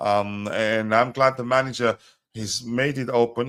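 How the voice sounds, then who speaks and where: This man speaks at a medium pitch with a non-native accent, and the recording is very clean with a silent background. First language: not English. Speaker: football fan pundit. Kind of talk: casual chat. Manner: halting, many fillers.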